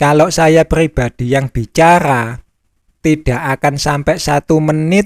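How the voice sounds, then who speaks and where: The recording is dry and close with no echo as a man speaks at a very slow pace. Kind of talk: personal spiritual reflection monologue.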